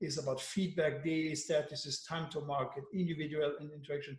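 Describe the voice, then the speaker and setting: Somewhat breathy and fairly high-pitched, a man talks at a fairly quick pace with monotone, flat intonation. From France. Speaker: agile coach. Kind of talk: workshop facilitation. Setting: video call.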